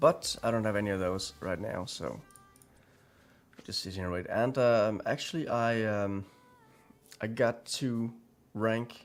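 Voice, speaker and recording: Music plays in the background. A man speaks with long, frequent pauses. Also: medium pitch for a man, ordinary pitch variation, fairly slow pace. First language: Danish. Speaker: gaming streamer. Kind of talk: live gameplay commentary. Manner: hesitant, many fillers.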